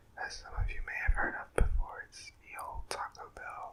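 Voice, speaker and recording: Someone whispers, soft-spoken, over noticeable background noise. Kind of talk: ASMR eating video, casual talk to camera. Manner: soft-spoken, whispery.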